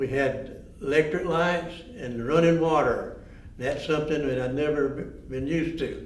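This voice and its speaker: A man in a Georgia accent, fairly high-pitched with fairly even intonation at a moderate pace, amid audible room echo and noticeable background noise. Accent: Southern US, Georgia. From US South, north Georgia mill village. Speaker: former mill village resident. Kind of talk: oral history interview.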